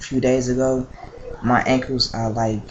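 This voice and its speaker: A man's medium-pitched voice, flat and monotone at a moderate pace, over noticeable background noise. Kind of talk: casual vlog update. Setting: at mother's house, home video. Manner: hesitant, many fillers.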